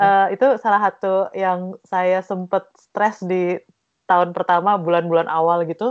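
A woman with a normal speaking voice talks at a fairly slow pace. Her pitch is medium and her intonation fairly even. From East Java, Indonesia. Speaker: textile design researcher. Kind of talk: interview.

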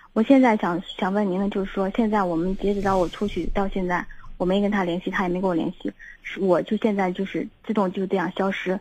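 Against a quiet background, a woman speaks at a medium pitch. Her delivery is fairly quick and somewhat breathy. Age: 30s. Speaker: caller seeking relationship advice. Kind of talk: phone-in advice call. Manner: halting, repetitive.

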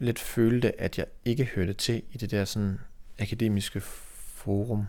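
A man with an unremarkable speaking voice talks at medium pitch with ordinary pitch variation. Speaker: painter and artist. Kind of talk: casual chat.

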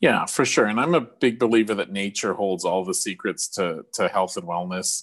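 Against a quiet background, a man with an unremarkable speaking voice talks at a moderate pace with ordinary pitch variation. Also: fairly low pitch for a man, hardly any pauses. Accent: Canadian. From Canadian Prairies. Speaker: podcast co-host. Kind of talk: casual chat.

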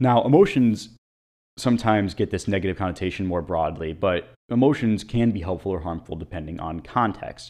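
A man with an American accent and an unremarkable speaking voice speaks at a fairly quick pace in a fairly low pitch with ordinary pitch variation against a quiet background. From US, Italian American family. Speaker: podcast host, mental performance consultant. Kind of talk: solo educational monologue. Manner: scripted.

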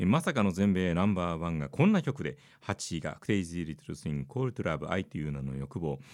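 The pace is very fast. The recording is very clean, with a silent background. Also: man. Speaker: radio DJ and podcast host. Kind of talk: solo chart-review monologue.

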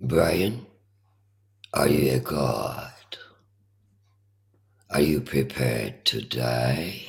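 A man's put-on, raspy character voice, very deep and low, at a very slow pace with long, frequent pauses. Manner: menacing, commanding.

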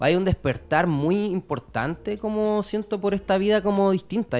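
A man speaks with a Chilean accent in a high voice. His pace is moderate. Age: 30s. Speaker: rapper. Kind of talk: interview.

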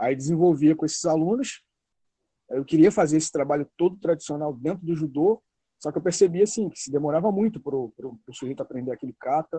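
A man speaks at a fairly quick pace with a fairly high pitch. His pitch varies in an ordinary way, while his loudness swings widely. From Rio de Janeiro state, Brazil (Região dos Lagos). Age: 40s. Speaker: martial arts researcher and judo instructor. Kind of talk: interview. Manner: halting, with frequent repetitions and fillers.

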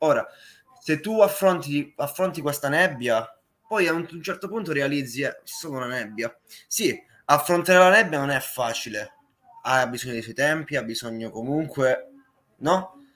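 At a moderate pace, a man with a fairly high pitch uses lively intonation, big swings in loudness and long, frequent pauses. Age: young. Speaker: musician. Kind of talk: interview. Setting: live stream.

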